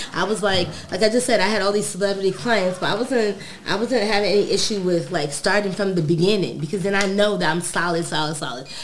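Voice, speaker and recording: A woman with an American accent rattles along at a very fast pace, medium-pitched with ordinary pitch variation, over noticeable background noise. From New York, Brooklyn. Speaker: cannabis cultivator and hash maker. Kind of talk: casual chat. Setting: studio.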